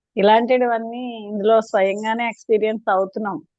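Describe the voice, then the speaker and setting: This is a woman's voice. Her pitch sits fairly high. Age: 60s. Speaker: schoolteacher. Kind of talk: testimonial feedback. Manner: halting.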